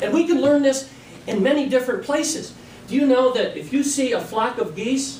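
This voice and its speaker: A man's extremely high-pitched voice with fairly even intonation, noticeable background noise and audible room echo. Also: moderate pace. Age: 60s. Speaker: toastmasters club speaker. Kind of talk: practice speech.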